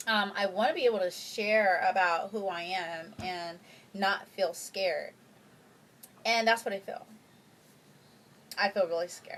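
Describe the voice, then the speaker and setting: Soft-spoken and medium in pitch, a woman talks at a fairly slow pace with fairly even intonation and long, frequent pauses. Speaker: vlogger. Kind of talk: personal vlog testimony. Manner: halting.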